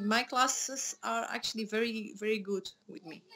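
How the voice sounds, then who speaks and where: A woman's raised, projected voice carries a bright, sharp tone at a fairly slow pace. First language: Dutch. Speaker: MMA fighter and schoolteacher. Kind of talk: interview.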